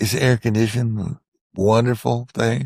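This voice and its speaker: Dry and close with no echo, the recording carries a man speaking in a Texan accent at a fairly slow pace with monotone, flat intonation. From central Texas, Hill Country. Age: 70s. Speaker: war veteran. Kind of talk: interview storytelling. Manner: halting.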